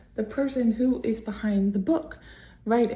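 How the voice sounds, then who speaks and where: A woman speaks at a moderate pace and a medium pitch. Her tone is dark and mellow, with ordinary pitch variation. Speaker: indie author and vlogger. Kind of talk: motivational vlog talk to camera. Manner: soft-spoken, projecting louder than usual.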